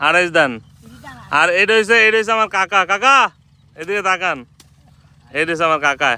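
A man's raised, projected voice with a bright, sharp tone. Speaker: vlogger. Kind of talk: casual vlog chat.

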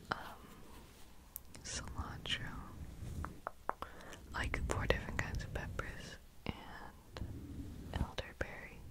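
A man at a very slow pace with long, frequent pauses, dry sound with no echo, and noticeable background noise. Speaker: ASMR creator. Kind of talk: casual rambling talk to the listener. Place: home room. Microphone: studio mic.

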